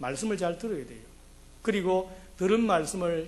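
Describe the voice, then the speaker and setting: Amid audible room echo, a man talks with lively intonation in a high voice. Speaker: pastor. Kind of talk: sermon. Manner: fast.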